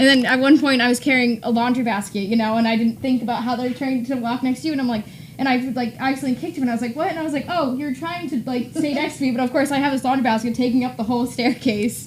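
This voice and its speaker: A high-pitched woman at a very fast pace, fairly even intonation, with noticeable background noise. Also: hardly any pauses. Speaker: dog trainer. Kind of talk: casual chat.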